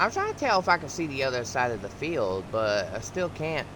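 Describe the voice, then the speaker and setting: At a moderate pace, a man talks with very wide pitch swings and long, frequent pauses. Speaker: gaming YouTuber. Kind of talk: casual gameplay commentary. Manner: halting, self-correcting.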